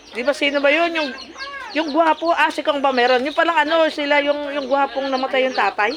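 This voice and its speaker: Noticeable background noise surrounds a woman with a high pitch. She talks at a fairly quick pace in an animated tone. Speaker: vlogger. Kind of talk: casual chat. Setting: party.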